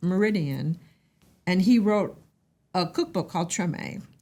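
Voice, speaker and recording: With an American accent, a woman talks at a fairly slow pace in a plain, everyday voice, medium in pitch with ordinary pitch variation. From US Midwest, Indiana. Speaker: restaurant owner. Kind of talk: casual chat.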